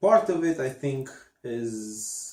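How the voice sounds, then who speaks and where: Speaking with a non-native accent, a man talks at a very slow pace in a dark, mellow tone with ordinary pitch variation. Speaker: podcast co-host. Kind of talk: casual chat. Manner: halting.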